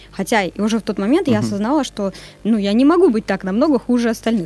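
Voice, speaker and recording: Her tone is dark and mellow, and the woman speaks at a very fast pace. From Kyrgyzstan, then Surgut, Russia. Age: 20s. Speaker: SMM agency director. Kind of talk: interview.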